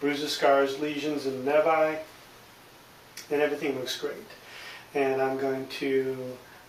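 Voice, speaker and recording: A man speaks with a fairly high pitch and monotone, flat intonation. Noticeable background noise runs underneath. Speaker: nurse practitioner student. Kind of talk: medical exam demonstration.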